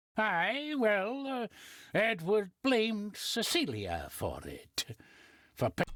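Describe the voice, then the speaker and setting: A put-on character voice speaks at a very slow pace with lively intonation. The sound is dry and close, with no echo. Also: woman, fairly high pitch for a woman. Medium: video game. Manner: folksy, plainspoken.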